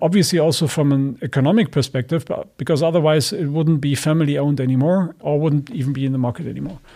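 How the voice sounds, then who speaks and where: At a very fast pace, the voice comes across as somewhat breathy with a dark, mellow tone. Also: man, fairly high pitch for a man, ordinary pitch variation. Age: 40s. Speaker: sustainability business executive. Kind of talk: interview. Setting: video call.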